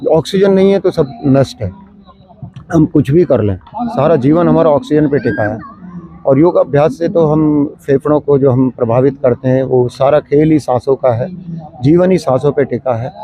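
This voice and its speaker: Over noticeable background noise, a man with a fairly high voice talks at a moderate pace with lively intonation. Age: 70s. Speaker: yoga practitioner, local resident. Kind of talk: street interview. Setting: outdoors in a park.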